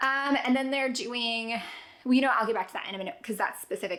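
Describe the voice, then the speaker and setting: Over noticeable background noise, a woman talks at a very fast pace with a fairly high pitch and an animated tone. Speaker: homeschooling parent and vlogger. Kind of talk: casual chat.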